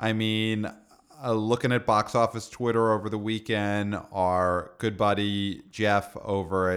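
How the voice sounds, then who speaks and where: Here a man with an American accent speaks fairly slowly, his pitch fairly low and his intonation fairly even. It is an ordinary speaking voice on a very clean recording with a silent background. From New York, Brooklyn. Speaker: podcast co-host, box office commentator. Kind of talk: casual chat. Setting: same room as co-host.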